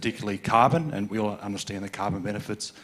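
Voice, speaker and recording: Speaking very fast, a man with an Australian accent keeps a fairly low pitch and fairly even intonation. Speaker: conference audience member. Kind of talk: audience question at conference. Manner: halting, many fillers and repetitions.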